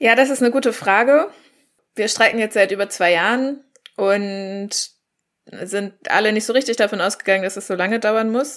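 A woman with a normal speaking voice talks at a moderate pace in a fairly high pitch with ordinary pitch variation. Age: young. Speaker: climate activist. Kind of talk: panel discussion.

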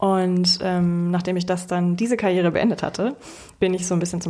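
A monotone, flat intonation runs through the speech. The voice carries a dark, mellow tone. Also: woman. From Hamburg, northern Germany. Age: 20s. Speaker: product owner at a mobility company, amateur runner. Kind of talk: casual interview.

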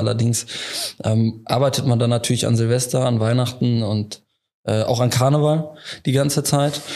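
A mid-pitched man's voice keeps fairly even intonation. He speaks at a moderate pace. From Leverkusen area, western Germany. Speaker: insurance broker. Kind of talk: casual interview.

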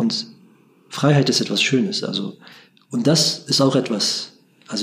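With lively intonation, a man keeps up a moderate pace. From Germany, Bremen. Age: 40s. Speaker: imam and interfaith dialogue worker. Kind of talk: interview.

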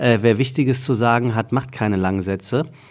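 This is a normal speaking voice with ordinary pitch variation at a moderate pace. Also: man. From Hesse, Taunus near Frankfurt. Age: 40s. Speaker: podcast host and voice-over speaker. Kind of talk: casual chat.

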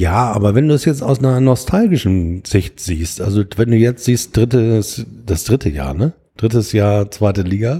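A man speaks at a moderate pace in a medium pitch, with a dark, mellow tone. His voice is somewhat breathy, and his intonation is lively. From Hamburg, Germany. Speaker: football podcast host. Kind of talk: casual chat.

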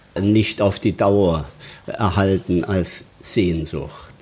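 Very slowly, a man speaks at a fairly low pitch. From Saxony, Zwenkau near Leipzig. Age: 70s. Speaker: painter. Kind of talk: interview. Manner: halting.

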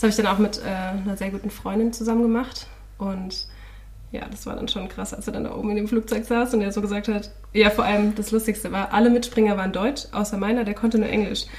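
Noticeable background noise sits behind a woman with a fairly high pitch. She speaks very fast in a monotone, flat intonation. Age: 20s. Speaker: podcast co-host, student teacher. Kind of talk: casual chat.

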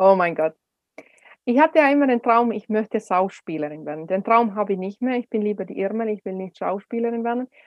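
A woman speaks at a fairly quick pace and a fairly high pitch. Her intonation is lively. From Finland. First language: Finnish (speaking German). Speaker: speaker and speech coach. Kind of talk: interview.

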